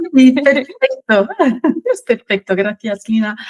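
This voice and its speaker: A woman's somewhat breathy voice with a French accent. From France. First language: French (speaking Spanish). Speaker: finance expert, sales manager. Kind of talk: interview podcast.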